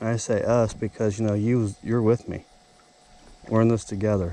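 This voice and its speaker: A dark, mellow tone in a Southern US accent. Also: man. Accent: southern drawl. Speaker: outdoors vlogger. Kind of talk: casual fishing vlog commentary. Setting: outdoors on a boat dock. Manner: animated.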